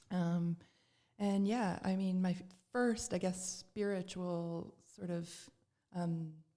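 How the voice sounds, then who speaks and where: In a Canadian accent, a woman with a medium pitch and a dark, mellow tone speaks at a very slow pace with long, frequent pauses and fairly even intonation. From Canada, Toronto. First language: Serbian. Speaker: spiritual practitioner. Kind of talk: podcast interview.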